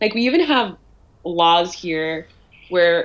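A woman's medium-pitched, normal speaking voice with a Canadian accent and ordinary pitch variation. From Canada, Ottawa. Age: 20s. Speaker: writer. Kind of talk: casual chat.

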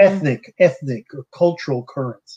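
At a moderate pace, a man talks in an ordinary speaking voice, his pitch fairly high. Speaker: livestream host and translator. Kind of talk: casual interview livestream with interpreting. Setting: video call livestream.

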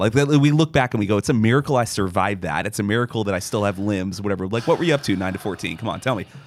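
A man speaks at a very fast pace. His voice is fairly low-pitched, in an American accent. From Florida. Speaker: podcast co-host. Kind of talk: casual chat.

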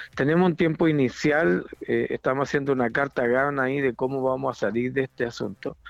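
This man talks at a fairly quick pace with hardly any pauses, at a medium pitch with ordinary pitch variation and very even loudness. He has a plain, everyday voice. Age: 50s. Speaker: pastor. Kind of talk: interview.

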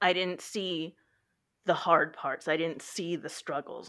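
With an American accent, a plain, everyday voice talks at a fairly slow pace against a quiet background. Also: woman. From Texas. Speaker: library worker. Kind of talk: personal testimony.

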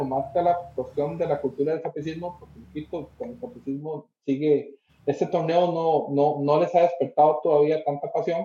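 A man's fairly high voice, a normal speaking voice, at a fairly quick pace. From Costa Rica. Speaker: football pundit. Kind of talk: casual chat.

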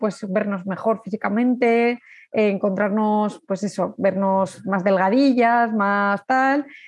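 A woman at a fairly slow pace, her intonation fairly even, over a quiet background. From Spain, Zaragoza. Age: 30s. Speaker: amateur runner. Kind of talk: casual interview. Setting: in person. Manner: halting, repeating words.

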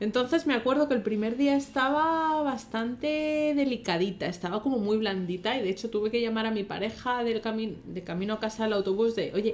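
A woman speaks at a fairly high pitch in a normal speaking voice. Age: 20s. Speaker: podcast co-host. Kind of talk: casual chat.

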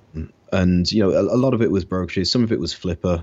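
The speaker has an English Midlands accent. The pace is fairly quick. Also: man. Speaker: online business entrepreneur. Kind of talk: interview. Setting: remote call.

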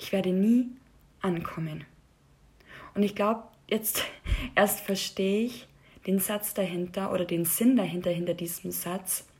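A woman speaks at a fairly slow pace with a somewhat breathy voice. Her intonation stays fairly even, broken by long, frequent pauses. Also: medium pitch for a woman. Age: 20s. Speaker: podcast host. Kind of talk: personal monologue.

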